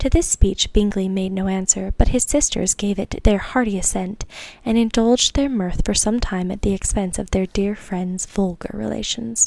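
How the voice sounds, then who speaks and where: Whispering softly, a woman speaks at a moderate pace. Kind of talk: audiobook-style classic novel reading. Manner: soft-spoken, whispering.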